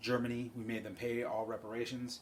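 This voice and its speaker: A man speaks in a medium pitch. Audible room echo is present. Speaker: college instructor. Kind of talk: recorded lecture. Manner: fast; casual, filler-heavy.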